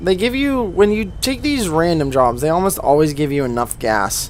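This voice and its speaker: Noticeable background noise sits behind a man with a fairly high pitch. His tone is relaxed, and his pitch swings very widely. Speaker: gaming video creator. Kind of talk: gameplay commentary. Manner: casual, relaxed.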